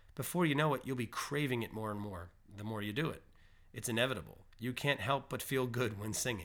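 This man has an ordinary speaking voice at a medium pitch, talking at a fairly quick pace with ordinary pitch variation on a very clean recording with a silent background. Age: 30s. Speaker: music podcast host. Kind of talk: solo podcast monologue.

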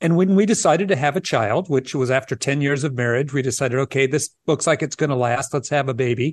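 Speaking very fast, a man uses a fairly high pitch with ordinary pitch variation. His loudness stays very even over a quiet background. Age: 60s. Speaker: early childhood educator. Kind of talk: interview.

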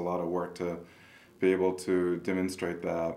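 A man speaks at a fairly quick pace in a very deep, low voice, his intonation monotone and flat. The room echo is audible. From rural Kansas. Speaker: wildlife biology professor. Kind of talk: interview. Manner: halting.

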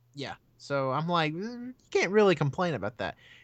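Over a quiet background, a man talks fairly quickly in a bright, sharp tone, his pitch swinging very widely. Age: 20s. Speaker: video game podcast guest. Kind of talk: casual chat.

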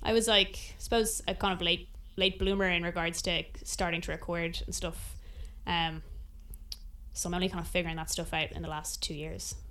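Speaking at a moderate pace, a woman talks with an Irish accent. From Ireland. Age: 20s. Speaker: singer-songwriter. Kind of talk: interview.

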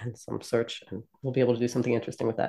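A woman with an American accent has a very deep, low pitch and a dark, mellow tone. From US, South Jersey. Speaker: product marketing manager. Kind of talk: casual chat.

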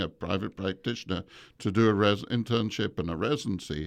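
Someone with an English accent speaks at a moderate pace over a quiet background. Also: man. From England. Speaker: veterinary professor. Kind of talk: interview. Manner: halting.

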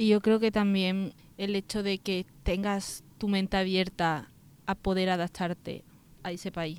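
Delivered at a fairly slow pace in a monotone, flat intonation, the sound is dry and close with no echo. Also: woman, medium pitch for a woman. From Andalusia, Spain (Seville area). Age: 20s. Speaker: architecture student on exchange. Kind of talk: casual interview; summary in English.

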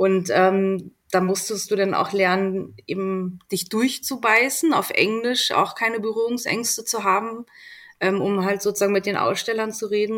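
With fairly even intonation and a medium pitch, a woman talks in a plain, everyday voice on a very clean recording with a silent background. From Berlin, Germany. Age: 40s. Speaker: magazine editor-in-chief. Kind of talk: casual interview.

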